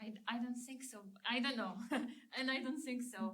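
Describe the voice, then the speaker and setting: With a non-native accent, a woman speaks at a moderate pace and fairly even intonation, with audible room echo around her. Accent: foreign. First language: not English. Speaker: physics professor. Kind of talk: panel discussion.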